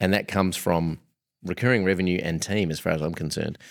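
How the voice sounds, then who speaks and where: Against a silent background in a very clean recording, this man's voice sounds very deep and low. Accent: Australian. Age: 40s. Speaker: podcast host. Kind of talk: podcast interview.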